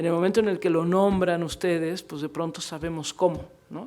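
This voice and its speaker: A woman's fairly low voice keeps fairly even intonation at a moderate pace. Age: middle-aged. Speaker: book presenter and radio interviewer. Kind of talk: panel discussion at book fair presentation. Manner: halting, repeats words.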